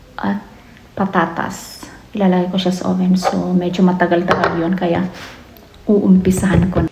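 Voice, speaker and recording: A soft-spoken woman talks at a medium pitch and a moderate pace, in a monotone, flat delivery broken by long, frequent pauses. Noticeable background noise and audible room echo fill the recording. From Philippines. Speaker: family vlogger. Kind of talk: casual vlog talk.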